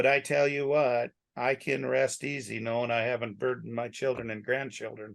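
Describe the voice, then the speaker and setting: Featuring a normal speaking voice, a man talks at a medium pitch and moderate pace with fairly even intonation. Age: 60s. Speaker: rancher. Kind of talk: casual chat.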